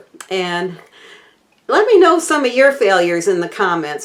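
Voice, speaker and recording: This woman talks at a moderate pace with a Southern US accent. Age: 60s. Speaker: cooking channel host. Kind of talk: casual chat to camera. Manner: halting, many fillers.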